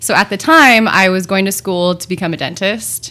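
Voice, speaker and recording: On a very clean recording with a silent background, a woman uses a plain, everyday voice at a fairly low pitch with ordinary pitch variation. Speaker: juice company owner. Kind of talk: casual chat.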